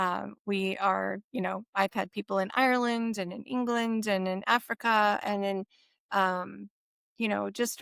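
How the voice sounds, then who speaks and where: A woman speaks in a plain, everyday voice at medium pitch, her intonation fairly even. The very clean recording has a silent background and a dry, close sound with no echo. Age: 60s. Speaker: retired naval officer and health product consultant. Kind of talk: interview.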